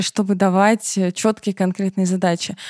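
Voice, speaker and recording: A woman with a normal speaking voice talks at a moderate pace and a medium pitch. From southern Russia, Rostov-on-Don. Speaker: middle manager. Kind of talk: casual chat.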